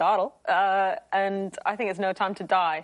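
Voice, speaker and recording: A woman in an ordinary speaking voice, medium pitch and ordinary pitch variation, at a fairly slow pace against a quiet background. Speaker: quiz show contestant.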